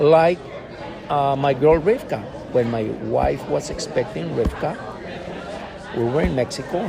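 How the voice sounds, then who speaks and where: A man's medium-pitched voice with lively intonation at a moderate pace, amid audible room echo and noticeable background noise. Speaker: former missionary, guest. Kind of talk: interview conversation. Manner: hesitant, repetitive fillers.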